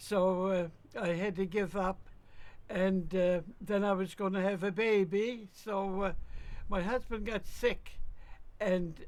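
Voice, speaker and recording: A woman speaks with a Cape Breton accent at a very slow pace. Her pitch is medium and her intonation monotone and flat. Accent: Cape Breton Canadian. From Cape Breton, Nova Scotia. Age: 90s. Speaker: retired telegraph operator. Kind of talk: interview. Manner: halting.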